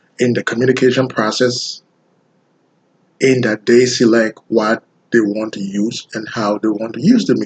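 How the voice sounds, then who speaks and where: Here a man is speaking. He has a Liberian accent. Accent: deep Liberian West African. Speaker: graduate student. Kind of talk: class presentation. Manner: slow; sounds like reading.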